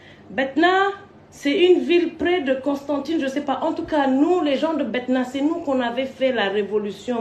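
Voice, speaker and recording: A woman with a non-native accent speaks at high pitch and a moderate pace, with very wide pitch swings. The recording carries noticeable background noise and audible room echo. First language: not French (speaking French). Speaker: online personality. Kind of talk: storytelling rant to camera. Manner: animated.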